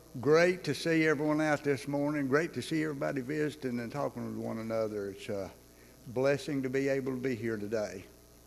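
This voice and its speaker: A man at medium pitch with a Southern US accent, fairly quick pace, ordinary pitch variation, and audible room echo. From North Georgia, US South. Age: 60s. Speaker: church class leader. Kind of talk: church announcements and introduction. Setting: church Bible class.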